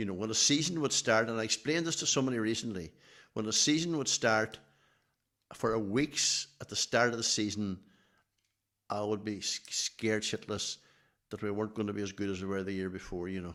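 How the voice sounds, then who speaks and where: A man with a Donegal accent speaks at a fairly quick pace in a fairly low pitch, with ordinary pitch variation and a bright, sharp tone. He leaves long, frequent pauses, and the recording is very clean with a silent background. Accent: Donegal Irish. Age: 70s. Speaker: athletics team manager. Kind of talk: podcast interview.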